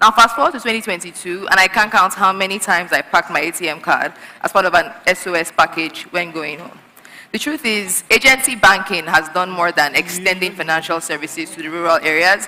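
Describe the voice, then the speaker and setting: Fairly quick speech from a woman at medium pitch, with ordinary pitch variation, big swings in loudness and noticeable background noise. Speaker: research analyst. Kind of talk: conference presentation. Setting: stage with audience.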